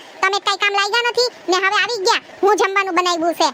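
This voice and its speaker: In a cartoonish character voice, a woman talks at a fairly quick pace with an extremely high pitch over clear background noise. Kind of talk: comic overacting. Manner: nagging, talkative.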